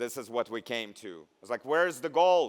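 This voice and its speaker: A man with a Russian accent speaks at a moderate pace. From Belarus. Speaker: nurse and keynote speaker. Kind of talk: commencement speech. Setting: stage with audience.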